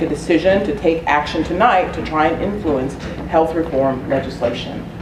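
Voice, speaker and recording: A woman with a fairly low pitch and ordinary pitch variation speaks at a moderate pace, with audible room echo and noticeable background noise. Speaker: community organization board chair, meeting host. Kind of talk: public meeting presentation. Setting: community meeting room with audience.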